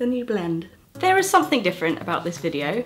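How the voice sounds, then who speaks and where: The speaker is a woman with a British accent. Her voice sits at a medium pitch. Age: 20s. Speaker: creative producer. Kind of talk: casual talk to camera.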